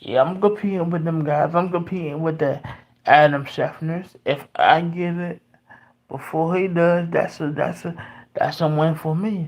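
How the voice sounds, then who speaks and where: The voice is quiet. It moves at a fairly slow pace. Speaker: sports commentator. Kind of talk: livestream monologue. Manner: halting.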